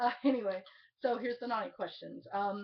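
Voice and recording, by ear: A woman speaks at a moderate pace and medium pitch, with ordinary pitch variation.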